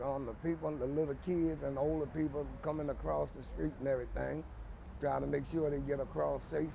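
Noticeable background noise runs under a man talking at a moderate pace. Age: 70s. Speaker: crossing guard. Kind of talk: interview answer. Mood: calm, warm, proud. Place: street.

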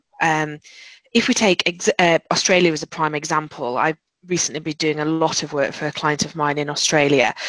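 Speaking with a British accent, a woman has a very deep, low pitch, a fairly quick pace and fairly even intonation, recorded with a dry, close sound and no echo. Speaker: recruitment director. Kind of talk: webinar presentation. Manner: hesitant, many fillers.

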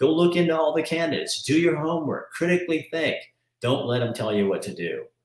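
A man with an American accent at a very fast pace, fairly high-pitched, with audible room echo over a quiet background. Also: ordinary pitch variation. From Oregon. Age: 60s. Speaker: talk show host. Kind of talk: casual interview. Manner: animated. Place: home room. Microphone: webcam.

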